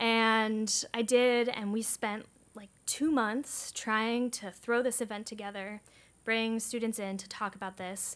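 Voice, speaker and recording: A woman with an American accent and a plain, everyday voice, fairly slow with fairly even intonation and big swings in loudness. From United States. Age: 20s. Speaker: climate activist organizer. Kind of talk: conference presentation. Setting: stage with audience. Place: meeting room.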